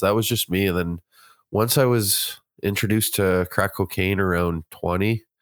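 A normal speaking voice from a man with a Canadian accent, fairly low in pitch, with ordinary pitch variation, at a moderate pace, on a very clean recording with a silent background. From Ontario, Canada (Kitchener). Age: 30s. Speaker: podcast guest sharing addiction recovery story. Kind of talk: casual interview, personal testimony.

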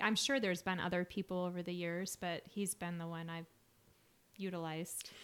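A woman with an American accent and a normal speaking voice talks at a fairly quick pace, her pitch fairly low and her intonation fairly even. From Utah (Salt Lake City). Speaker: podcast co-host, spiritual coach. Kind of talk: casual chat.

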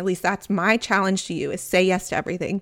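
The recording is very clean, with a silent background. A woman at a medium pitch speaks at a fairly quick pace with a Southern US accent. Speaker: podcast host. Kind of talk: solo podcast monologue, casual. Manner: warm, friendly, chatty.

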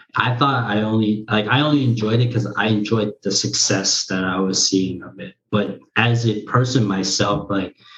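In an American accent, a man speaks at a moderate pace with a fairly low pitch and ordinary pitch variation. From United States, Korean-American family. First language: Korean. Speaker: streamer. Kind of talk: casual interview.

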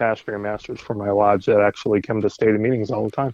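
This man speaks with an American accent at a fairly low pitch. His intonation is monotone and flat, his pace moderate. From Indiana, east side of Indianapolis. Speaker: Masonic grand commander. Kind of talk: casual interview.

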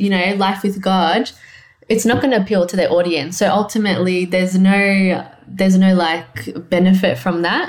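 Speaking with an Australian accent, a woman keeps a moderate pace, a medium pitch, fairly even intonation and very even loudness. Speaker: clothing line owner and designer. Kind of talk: casual interview.

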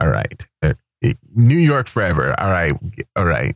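A man with vocal fry speaks in an animated tone at a fairly slow pace, his pitch swinging very widely, in a dry, close sound with no echo. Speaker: radio host. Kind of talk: radio dj patter, music show host. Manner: animated, hyped, catchphrase-driven; casual, chatty, playful.

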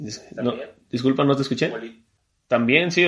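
Using ordinary pitch variation, a man's voice sits at a medium pitch. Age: 20s. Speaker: civil engineer. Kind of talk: casual chat. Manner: halting.

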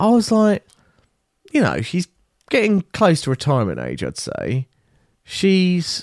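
Dry, close sound with no echo, carrying a man's voice with an English accent. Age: 30s. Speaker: podcast co-host. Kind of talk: casual chat.

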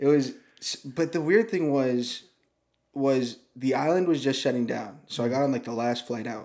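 At a medium pitch and moderate pace, a man has a normal speaking voice with ordinary pitch variation on a very clean recording with a silent background. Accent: American. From American Samoa. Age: 20s. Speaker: camera helper and ministry intern. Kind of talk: casual chat. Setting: studio.

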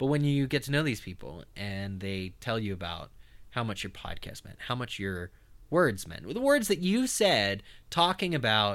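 Very wide swings in pitch from a man speaking at a moderate speed, captured in a very clean recording against a silent background. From eastern Pennsylvania. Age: 30s. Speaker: podcast host. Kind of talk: interview. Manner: talkative.

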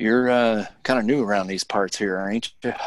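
A man's gruff put-on character voice in a rural Western US accent, at a medium pitch and moderate pace with fairly even intonation. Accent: rural American Western drawl. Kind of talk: Old West character voice. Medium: actual play. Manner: gruff, intrusive.

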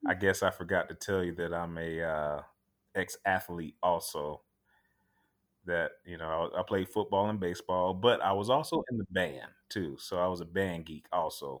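On a very clean recording with a silent background, a man with a very deep, low pitch talks at a moderate pace with ordinary pitch variation. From Tampa, Florida. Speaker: firefighter. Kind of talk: casual interview.

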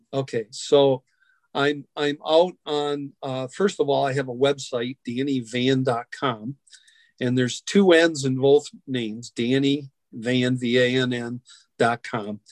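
This man has a medium pitch and an American accent, speaking at a very slow pace with fairly even intonation. The sound is dry and close, without echo. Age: 60s. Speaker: musician and foster care advocate. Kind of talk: interview. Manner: halting.

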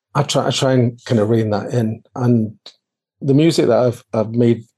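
The voice has a dark, mellow tone and a Scottish accent. Its intonation stays fairly even. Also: man, quiet background. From Scotland, Edinburgh area. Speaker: adoptee interview guest. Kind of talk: interview, personal life story.

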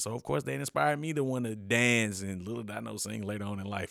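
A man speaks at a fairly quick pace in a relaxed tone. His voice is bright and sharp, with very wide pitch swings. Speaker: podcast co-host. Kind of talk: casual banter podcast chat. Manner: relaxed, laughing, conversational.

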